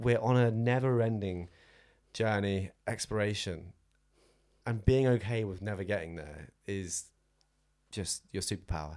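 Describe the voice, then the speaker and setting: In a very clean recording with a silent background, a man with a southern English accent and fairly low pitch speaks at a moderate pace with lively intonation. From southern England (Southampton). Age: 20s. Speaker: run coach. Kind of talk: casual chat.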